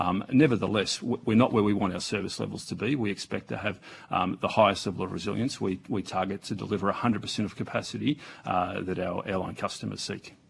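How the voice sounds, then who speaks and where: A man with an Australian accent talks at a very fast pace, his fairly low pitch showing ordinary variation. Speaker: aviation agency executive. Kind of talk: parliamentary testimony. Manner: soft-spoken; halting. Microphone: too far from microphone.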